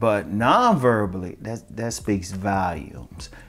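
A man's fairly low voice at a moderate pace, with ordinary pitch variation and faint music in the background. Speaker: dating advice vlogger. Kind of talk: casual advice monologue. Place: home room. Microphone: lapel.

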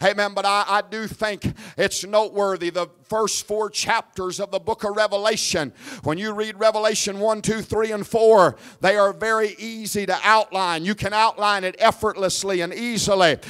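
A high-pitched male voice, monotone and flat, against a quiet background. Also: moderate pace. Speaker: evangelist preacher. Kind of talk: revival sermon building to a call-and-response climax. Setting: church service with congregation. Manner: fervent, rhythmic repetition with rising Pentecostal intensity; exhorting the crowd, prompting amens. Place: church. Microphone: handheld.

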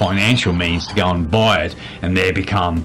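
Faint music plays in the background as a man speaks at a moderate pace with ordinary pitch variation. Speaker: lifestyle vlogger. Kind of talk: casual vlog chat.

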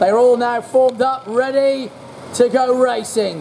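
Light background noise runs under the speech. The delivery is at a fairly slow pace. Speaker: race commentator. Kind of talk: commentary. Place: stadium.

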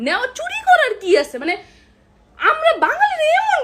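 This woman's voice sits at an extremely high pitch. Her tone is animated. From Bangladesh. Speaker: content creator. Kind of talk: vlog rant.

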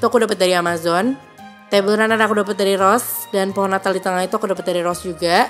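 A woman speaks at a very fast pace in an upbeat tone and medium pitch. Music plays in the background. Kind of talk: casual talk to camera, house tour.

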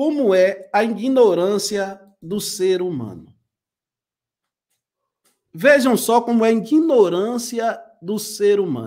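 With long, frequent pauses, a high-pitched man speaks in a lively intonation against a quiet background. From rural Pernambuco, Brazil. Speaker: livestream commentator. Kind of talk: preacher-like, exhorting. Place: home room.

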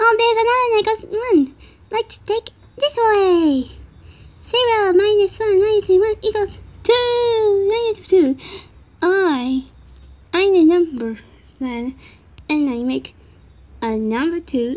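An extremely high, put-on character voice speaks at a fairly slow pace. Long pauses come often. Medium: dub. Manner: upbeat, playful.

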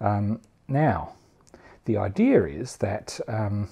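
A man's fairly low voice, dark and mellow with a slightly husky edge and vocal fry, big pitch swings, and a slow pace

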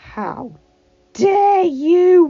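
An extremely high, female-sounding put-on character voice. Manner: growling, furious.

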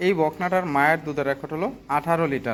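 An unremarkable speaking voice from a man, fairly high in pitch, with fairly even intonation. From Bangladesh, Cumilla (Debidwar). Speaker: dairy farmer and heifer seller. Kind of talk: sales pitch.

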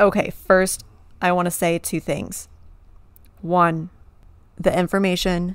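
In a dry sound with no echo and a quiet background, a woman with an unremarkable speaking voice and fairly low pitch talks at a moderate pace. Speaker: podcast host. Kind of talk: casual podcast storytelling.

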